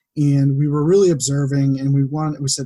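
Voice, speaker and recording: A man's fairly high, somewhat breathy voice with a dark, mellow tone and an American accent, at a fairly quick pace, in a dry, close sound with no echo. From western Massachusetts. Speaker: data analyst and farmer. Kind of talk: casual interview chat.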